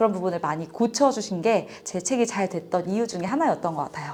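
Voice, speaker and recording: The background noise here is noticeable. A woman's speech runs at a fairly quick clip. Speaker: author and business owner. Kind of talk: interview testimony.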